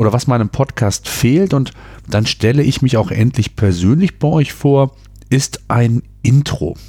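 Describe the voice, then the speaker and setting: A man speaks at a medium pitch and a fairly slow pace. His voice is somewhat breathy, with a dark, mellow tone. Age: 40s. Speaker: podcast host and entrepreneur. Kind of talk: solo podcast monologue. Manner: hesitant fillers.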